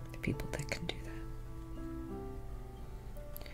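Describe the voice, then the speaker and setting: Over music in the background, a soft-spoken woman whispers at a very slow pace. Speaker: certified hypnotherapist. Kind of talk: ASMR relaxation talk about hypnosis. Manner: whispered, soft, slow.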